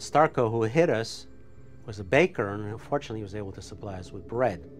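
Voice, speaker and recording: Over music in the background, a man with a fairly low pitch talks at a very fast pace, his intonation lively and his loudness swinging widely. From Poland. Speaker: Holocaust survivor. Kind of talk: testimony. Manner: halting.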